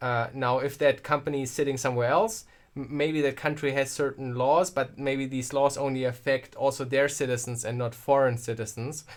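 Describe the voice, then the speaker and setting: Speaking in a German accent at a moderate pace, a man leaves hardly any pauses. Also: medium pitch for a man, fairly even intonation, very clean recording, silent background. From Germany. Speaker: tech streamer. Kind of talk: live stream chat. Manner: casual, halting with repeats.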